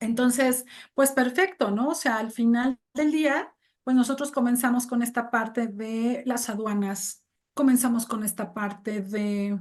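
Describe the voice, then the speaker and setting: Against a quiet background, a woman talks at a fairly slow pace with a high pitch and ordinary pitch variation. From Mexico. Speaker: English teacher and translator. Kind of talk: interview conversation. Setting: video call.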